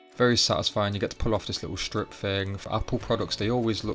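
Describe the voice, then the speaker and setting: Music plays in the background as a man speaks at a fairly low pitch. He keeps a fairly quick pace and fairly even intonation. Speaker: tech YouTuber. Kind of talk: casual talk to camera.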